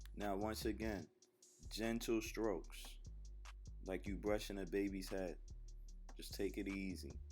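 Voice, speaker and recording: Over music in the background, a man talks at a fairly slow pace, leaving long, frequent pauses. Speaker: rapper. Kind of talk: comedic voiceover narration of a makeup tutorial. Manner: laid-back, joking.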